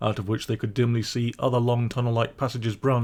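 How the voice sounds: The clip features a natural reading voice.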